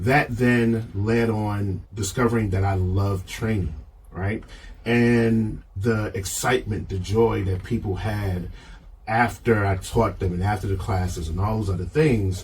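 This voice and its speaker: A man talks at a fairly slow pace and fairly low pitch, with ordinary pitch variation. His voice is somewhat breathy, and there is audible room echo. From Baltimore, US. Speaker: leadership framework creator. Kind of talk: podcast interview. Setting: studio.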